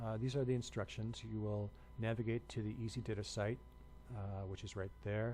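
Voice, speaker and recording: Somewhat breathy, with a dark, mellow tone, a man talks at a fairly quick pace and a fairly low pitch with ordinary pitch variation, in audible room echo. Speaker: university instructor. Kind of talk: lecture. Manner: hesitant with many fillers.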